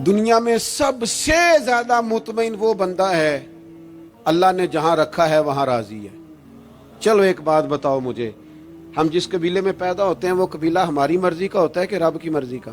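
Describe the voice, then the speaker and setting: A man speaks with a high pitch and a passionate tone. Music plays in the background. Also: lively intonation. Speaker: Islamic preacher. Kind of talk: emotional religious sermon. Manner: passionate, rhetorical, asks questions to audience.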